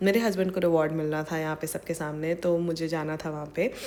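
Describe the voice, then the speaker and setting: This woman's voice sits fairly low. She speaks at a moderate pace in a monotone, flat intonation. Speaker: vlogger. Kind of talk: vlog narration. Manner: casual, code-switching Hindi-English.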